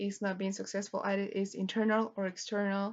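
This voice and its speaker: At a moderate pace, a woman with a non-native accent speaks at a medium pitch. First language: Spanish. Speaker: student teacher. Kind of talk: lesson plan presentation. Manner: halting.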